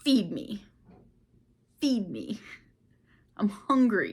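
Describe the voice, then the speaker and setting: A woman puts on a gruff character voice at a fairly high pitch. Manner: demanding.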